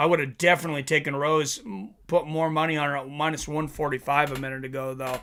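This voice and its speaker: A man's bright, sharp voice, fairly high in pitch, comes at a fairly quick pace with fairly even intonation. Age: 40s. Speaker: MMA live-stream host. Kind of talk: live fight commentary with chat reading.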